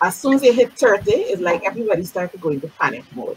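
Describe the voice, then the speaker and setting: This woman's animated tone rides on very wide swings in pitch. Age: 50s. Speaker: beauty industry talk show host. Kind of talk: casual interview. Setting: live-streamed video call. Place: home room. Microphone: video call.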